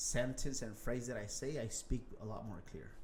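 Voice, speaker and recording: Somewhat breathy man with fairly even intonation and audible room echo. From Los Angeles area (Huntington Park), Mexican-American. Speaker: real estate investor. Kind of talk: interview. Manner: halting, repeats words.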